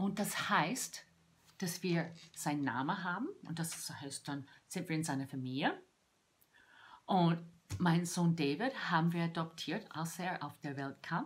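Somewhat breathy and at a fairly low pitch, a woman speaks at a very slow pace with ordinary pitch variation and long, frequent pauses. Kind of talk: devotional talk to camera. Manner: halting. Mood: warm, heartfelt, animated. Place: home room. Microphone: phone near.

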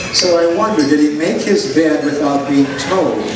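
Moderate-paced speech with ordinary pitch variation, audible room echo and noticeable background noise. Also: man. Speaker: poet. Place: stage. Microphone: handheld.

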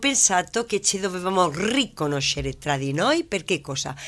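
A woman talks with a fairly low pitch. Her pitch swings very widely. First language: Spanish (speaking Italian). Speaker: business owner, labour consultant. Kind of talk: studio interview. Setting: TV studio.

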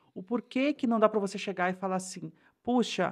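A woman speaks at a fairly quick pace with fairly even intonation over a quiet background. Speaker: podcast co-host. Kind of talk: casual chat. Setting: home studio. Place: home room. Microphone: new microphone; studio mic.

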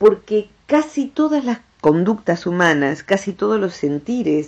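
A woman's dark, mellow tone at a fairly slow pace, with very wide pitch swings. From Argentina. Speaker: psychologist, director of a transpersonal psychology center. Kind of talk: radio talk, educational explanation about the brain. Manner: warm, friendly, conversational. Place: studio.

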